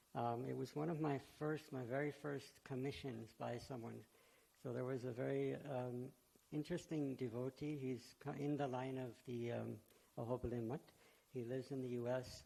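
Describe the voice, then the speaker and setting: A man's dark, mellow tone in a flat monotone. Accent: American. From USA. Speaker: devotional artist. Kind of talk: speech at event.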